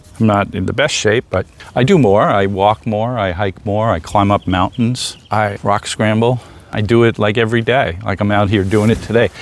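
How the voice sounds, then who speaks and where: Over noticeable background noise, a man talks at a moderate pace in a fairly low pitch with fairly even intonation. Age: 60s. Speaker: retired vlogger. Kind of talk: casual vlog monologue. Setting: outdoors on a trail bench. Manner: rambling, halting with restarts.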